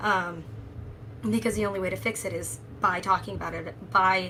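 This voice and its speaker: A woman speaks with an American accent at a fairly quick pace. Audible room echo surrounds her voice. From Nebraska. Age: 30s. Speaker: political candidate and party official. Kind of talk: panel discussion.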